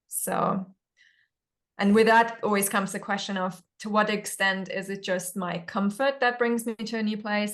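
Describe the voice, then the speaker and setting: A woman with a German accent, at a moderate pace, with fairly even intonation. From Germany. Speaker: spiritual discussion panelist. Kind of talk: casual chat. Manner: reflective, halting.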